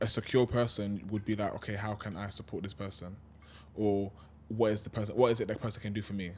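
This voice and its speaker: Speaking at a very fast pace, a man with a fairly low pitch uses monotone, flat intonation. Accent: London. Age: 20s. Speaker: podcast co-host. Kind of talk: casual chat.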